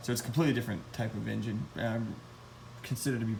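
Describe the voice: Fairly low in pitch with little pitch movement, a man speaks with vocal fry amid audible room echo.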